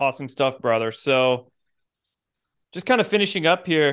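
A man talks in a normal speaking voice at a moderate pace with a fairly high pitch. The background is quiet. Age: 30s. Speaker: podcast host. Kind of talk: casual chat.

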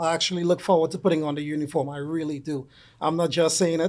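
At a very fast pace, a man speaks in a high-pitched voice. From Trinidad and Tobago. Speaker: police officer. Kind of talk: interview.

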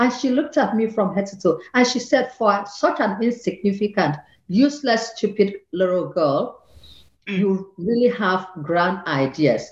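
A woman with lively intonation, a moderate pace and a somewhat breathy sound. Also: medium pitch for a woman. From southern Nigeria. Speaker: author. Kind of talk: interview.

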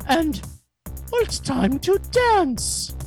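The speaker uses a put-on character voice. Faint music plays in the background. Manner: silly, put-on.

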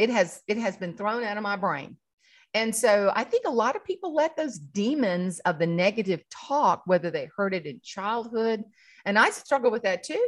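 A woman talks at a moderate pace in a South Carolina accent. Her fairly high voice has lively intonation. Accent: Southern US (South Carolina). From South Carolina, rural farming community. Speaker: humorist and keynote speaker. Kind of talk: casual interview chat. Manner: animated, laughs often.

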